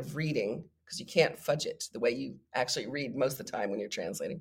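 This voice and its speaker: Somewhat breathy and very deep, a woman speaks with an American accent and lively intonation. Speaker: poet and translator. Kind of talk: interview. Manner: hesitant with repetitions.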